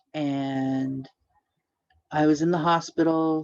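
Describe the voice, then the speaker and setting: A woman with a very deep, low voice. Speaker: podcast co-host. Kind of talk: casual chat. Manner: halting.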